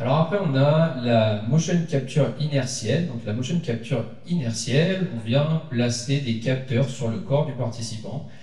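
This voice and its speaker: Fairly slow speech with hardly any pauses and ordinary pitch variation, amid audible room echo and noticeable background noise. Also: man, medium pitch for a man. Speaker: conference speaker, researcher. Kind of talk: conference talk. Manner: hesitant, many fillers.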